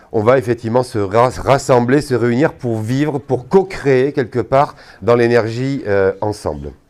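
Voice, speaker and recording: A man of medium pitch talks at a fairly slow pace with ordinary pitch variation. The recording is very clean, with a silent background. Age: 60s. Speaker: energy therapist giving a talk. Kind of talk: talk to an audience. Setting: hall at a trade fair with audience. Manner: hesitant, many fillers.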